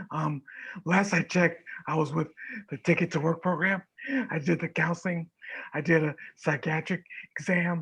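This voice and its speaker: A man with an American accent speaks at a moderate pace in a high voice with monotone, flat intonation and long, frequent pauses. The sound is dry and close with no echo, and the background is quiet. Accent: voice affected by vocal paralysis. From Florida, US. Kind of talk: online meeting discussion. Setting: video call.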